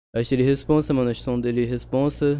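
Here a man talks at medium pitch. His tone is relaxed, dark and mellow. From Espírito Santo, Brazil. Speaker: rapper. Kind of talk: casual chat. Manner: slangy, relaxed.

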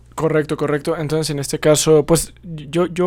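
The speaker is a man. His tone is dark and mellow. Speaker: podcast host. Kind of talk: casual discussion. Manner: halting, many fillers.

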